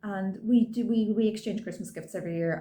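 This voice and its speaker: A woman with an Irish accent at a moderate pace. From Ireland. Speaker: cross-stitch vlogger. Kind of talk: casual show-and-tell vlog. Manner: chatty, with frequent ums.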